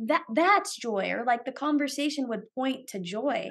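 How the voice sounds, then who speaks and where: With a Californian accent, the speaker has an animated tone, lively intonation and a moderate pace. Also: woman. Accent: Californian American. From US West Coast, San Francisco Bay Area. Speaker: podcaster. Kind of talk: casual interview.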